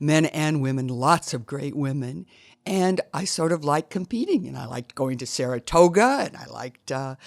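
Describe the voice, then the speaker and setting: Speaking fairly slowly with ordinary pitch variation, a woman with a very deep, low voice and an American accent is captured dry and close with no echo on a very clean recording with a silent background. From US Midwest, Iowa. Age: 70s. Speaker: triathlete. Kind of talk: interview.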